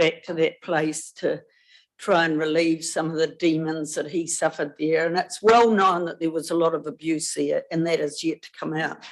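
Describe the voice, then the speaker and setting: Against a quiet background, a woman with a New Zealand accent speaks at a fairly low pitch with fairly even intonation. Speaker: public submitter. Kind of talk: public hearing submission. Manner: loud.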